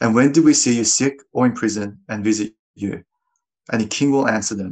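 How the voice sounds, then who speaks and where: Over a quiet background, a man talks at a fairly quick pace in a fairly low pitch. It is a normal speaking voice with fairly even intonation. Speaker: scripture reader. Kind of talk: reading aloud.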